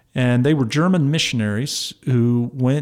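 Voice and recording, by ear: An American man with a medium pitch and slightly mellow tone speaks with vocal fry and fairly even intonation.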